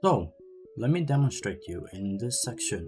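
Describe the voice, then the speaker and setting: A man talks fairly slowly as background music plays. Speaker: gaming guide creator. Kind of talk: video game tutorial narration.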